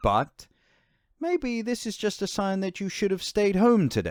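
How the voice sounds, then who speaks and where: A man talks fairly slowly, and the recording is very clean with a silent background. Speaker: professional voice artist, let's play gamer. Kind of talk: casual let's play commentary talking to camera. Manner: chatty, casual, friendly.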